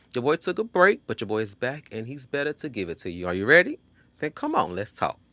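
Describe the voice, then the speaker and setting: In a quiet background with a dry, close sound and no echo, a man with an American accent talks very fast at medium pitch, in a bright, sharp tone with very wide pitch swings. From Texas, Houston. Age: 30s. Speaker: podcast host. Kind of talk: casual podcast monologue. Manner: animated.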